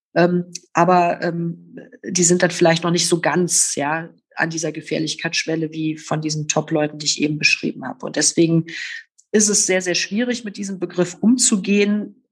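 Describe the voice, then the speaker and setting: Pitch varies in an ordinary way while the speech holds a moderate pace. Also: woman, fairly low pitch for a woman. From Rhineland, Oberbergischer Kreis, Germany. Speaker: politician, former police officer. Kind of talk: interview. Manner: hesitant with many fillers.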